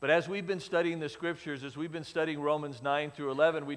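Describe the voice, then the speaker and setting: A man speaking against a quiet background. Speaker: pastor. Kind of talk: sermon. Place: church.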